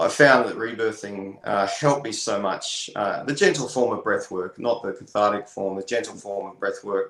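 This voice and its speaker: With an Australian accent, the speaker barely pauses and uses ordinary pitch variation. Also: man, medium pitch for a man, moderate pace. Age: 40s. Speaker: sound healer and musician. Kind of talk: interview.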